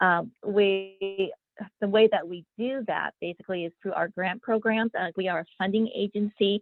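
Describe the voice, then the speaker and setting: An ordinary speaking voice belongs to a woman at medium pitch. She keeps a moderate pace and fairly even intonation. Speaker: federal economic development official. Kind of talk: webinar presentation.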